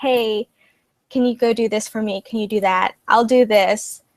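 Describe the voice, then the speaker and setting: Soft-spoken and fairly high-pitched, a woman speaks at a moderate pace with fairly even intonation, the sound dry and close with no echo. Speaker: student candidate in election. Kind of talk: interview.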